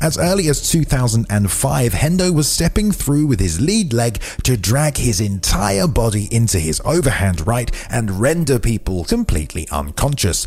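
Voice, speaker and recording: A man with a medium pitch talks with hardly any pauses, very even loudness and very wide pitch swings. Noticeable background noise runs under his voice. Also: moderate pace. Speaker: MMA video channel host. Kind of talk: scripted narration of a top-10 list video.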